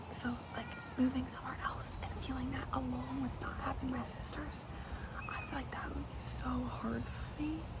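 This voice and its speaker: A woman whispers at a moderate pace over noticeable background noise. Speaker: ASMR creator. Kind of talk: casual talk to camera. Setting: outdoors. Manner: whispered.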